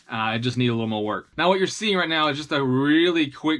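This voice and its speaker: In a Southern US accent, a man with a fairly high pitch speaks at a fairly quick pace, his tone bright and sharp and his pitch variation ordinary. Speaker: tabletop terrain hobbyist YouTuber. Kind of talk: tutorial. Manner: casual, with frequent fillers and restarts.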